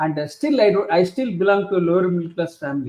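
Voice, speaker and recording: A man with an Indian accent. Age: 60s. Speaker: author and leadership professor. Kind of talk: interview. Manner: halting, many fillers.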